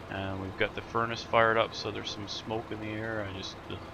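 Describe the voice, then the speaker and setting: Noticeable background noise and audible room echo accompany this man as he speaks. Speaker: gaming video creator. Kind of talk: let's play commentary. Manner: casual, halting.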